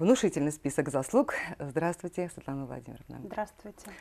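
A woman speaks at a very deep, low pitch with a dark, mellow tone. Her pace is moderate and her intonation lively. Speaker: TV host. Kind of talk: TV interview host reading introduction. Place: studio. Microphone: lapel.

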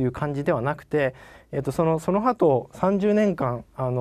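A man talks at a fairly slow pace in a fairly high pitch. The background is quiet. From Japan. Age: 40s. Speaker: company CEO; presenter. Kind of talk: investor presentation; investor presentation and Q&A answers. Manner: polite, many fillers.

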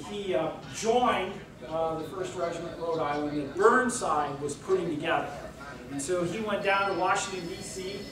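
Audible room echo and noticeable background noise run through the clip. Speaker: guest lecturer. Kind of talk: lecture. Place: hall.

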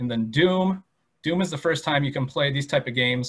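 A man speaks in a plain, everyday voice, fairly high-pitched for a man, at a moderate pace. His pitch varies in an ordinary way against a quiet background. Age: 30s. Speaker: museum educator. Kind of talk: presentation. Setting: online video presentation. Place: home room. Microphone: webcam.

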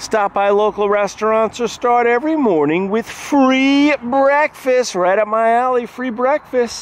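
A man at a fairly slow pace, ordinary pitch variation, in a dry sound with no echo. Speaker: hotel reviewer. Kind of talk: tour commentary reading website text. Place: street. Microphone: phone near.

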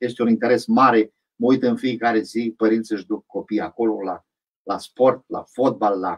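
Against a quiet background, a man with a plain, everyday voice speaks at a medium pitch and a moderate pace, his intonation fairly even. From Bukovina, Romania. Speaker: town mayor. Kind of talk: radio interview. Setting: radio studio. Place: studio. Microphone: studio mic.

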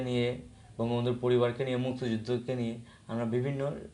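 A man speaks at a medium pitch in a dark, mellow tone. His delivery is monotone and flat, with audible room echo. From Sunamganj, Sylhet division, Bangladesh. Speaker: law student and youth organizer. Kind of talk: studio interview. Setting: studio. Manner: halting, with fillers.

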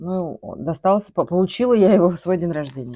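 A dark, mellow tone at a moderate pace with ordinary pitch variation, against a quiet background. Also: woman. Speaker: vlogger. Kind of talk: casual vlog chat, answering viewer questions. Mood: relaxed, reminiscing. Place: home room. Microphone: phone near.

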